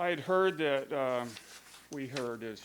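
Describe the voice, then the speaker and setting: The delivery is fairly slow. Audible room echo surrounds the voice. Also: man. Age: 70s. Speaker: general contractor. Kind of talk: public comment at council meeting. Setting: city council meeting.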